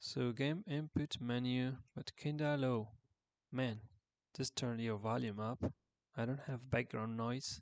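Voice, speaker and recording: The speech is quiet and fairly slow, with long, frequent pauses, ordinary pitch variation and a dry, close sound with no echo. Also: man, medium pitch for a man. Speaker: game developer streaming coding. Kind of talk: live coding stream. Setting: home, early morning while others sleep. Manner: quiet, low volume; hesitant, many fillers. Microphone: viewers say audio is too quiet.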